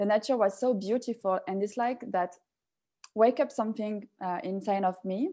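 A woman with a French accent, fairly high pitch and a dark, mellow tone, ordinary pitch variation, on a very clean recording with a silent background. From France. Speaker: personal development facilitator and yoga instructor. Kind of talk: interview. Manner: halting.

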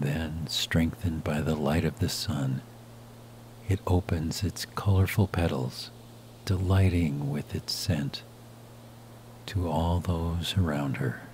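A man speaks in a very deep, low pitch and a soothing, calm tone, very slowly and with long, frequent pauses. Noticeable background noise sits behind him. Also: ordinary pitch variation. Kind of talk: guided meditation. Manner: slow, soft and soothing; calm with long pauses between phrases.

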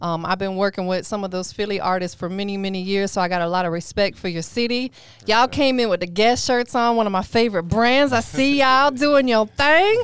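A woman at a medium pitch talks in an animated tone with ordinary pitch variation, hardly pausing at all. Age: 40s. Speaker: radio host. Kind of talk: casual interview. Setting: studio.

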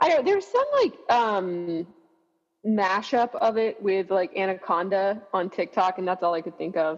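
Music plays in the background as a woman speaks at a moderate pace. Her pitch is medium, with ordinary variation. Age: 30s. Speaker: marathon runner. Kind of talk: casual chat. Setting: video call.

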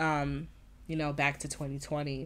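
A woman's very deep, low voice with vocal fry, on a very clean recording with a silent background. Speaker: podcast host. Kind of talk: casual solo podcast intro. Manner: casual, filler-heavy, conversational.

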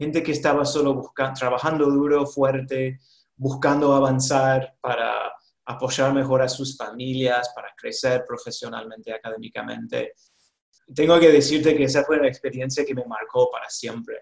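Speaking at a moderate pace with a slight Rioplatense accent, a man at medium pitch keeps a monotone, flat intonation while his loudness swings widely. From US South, North Carolina. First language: English (speaking Spanish). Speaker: college administrator. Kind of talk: interview.

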